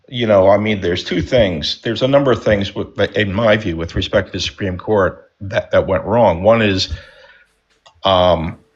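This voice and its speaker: At a moderate pace, a man speaks in an ordinary speaking voice, fairly low in pitch with ordinary pitch variation. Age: 60s. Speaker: panel participant. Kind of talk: live panel debate.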